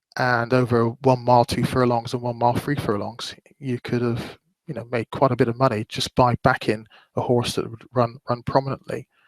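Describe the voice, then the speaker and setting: In a West Country accent, a man talks at a moderate pace and medium pitch with monotone, flat intonation, the sound dry and close with no echo. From West Country, England. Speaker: horse racing betting analyst. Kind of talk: webinar presentation. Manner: hesitant, many fillers.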